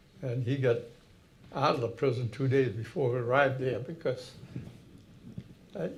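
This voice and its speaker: Someone with an American accent speaks at a moderate pace. The room echo is audible. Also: man. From Massachusetts, Haverhill. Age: 90s. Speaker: war veteran. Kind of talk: talk to an audience. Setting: hall with audience. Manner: halting.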